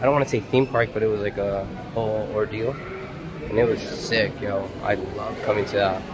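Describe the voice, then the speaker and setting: A man at a fairly quick pace with ordinary pitch variation, music in the background. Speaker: travel vlogger. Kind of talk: casual vlog chat. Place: shop. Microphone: phone near.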